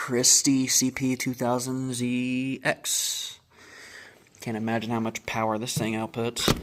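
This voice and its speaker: At a very slow pace, a man with a medium pitch delivers his words in a monotone, flat intonation. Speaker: urban explorer vlogger. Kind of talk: exploration vlog narration. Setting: indoors, abandoned building.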